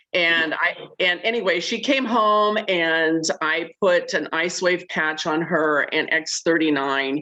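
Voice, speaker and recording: Noticeable background noise sits under a woman's fairly low voice. She talks at a very slow pace with ordinary pitch variation. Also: very even loudness. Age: 60s. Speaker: caller sharing product testimonial. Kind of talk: testimony.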